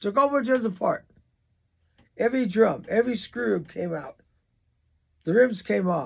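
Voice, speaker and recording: Here a man speaks at a high pitch. His intonation is lively. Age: 80s+. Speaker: drummer and drum teacher. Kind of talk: reading aloud. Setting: studio.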